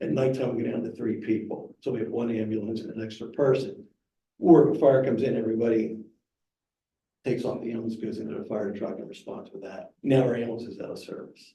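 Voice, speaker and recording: Talking very fast at a medium pitch, a man has a dark, mellow, somewhat breathy tone with ordinary pitch variation, big swings in loudness and audible room echo. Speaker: fire chief. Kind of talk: presentation.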